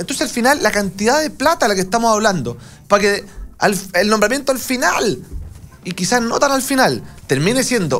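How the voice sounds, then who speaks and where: The speaker has a Chilean accent and talks at a fairly quick pace. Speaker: politician, congressman. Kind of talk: political debate. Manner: halting.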